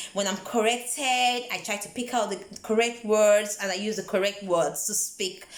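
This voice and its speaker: A woman's fairly even-toned speech with hardly any pauses, over noticeable background noise. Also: medium pitch for a woman, moderate pace. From Nigeria. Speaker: vlogger. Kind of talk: motivational vlog talk. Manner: conversational, repeats words.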